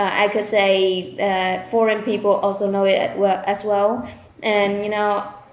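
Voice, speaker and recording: Against audible room echo, a woman talks at a medium pitch and a fairly slow pace in a monotone, flat intonation. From Vietnam, Ho Chi Minh City. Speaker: IELTS test candidate. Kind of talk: mock speaking exam answers. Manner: halting, with many fillers.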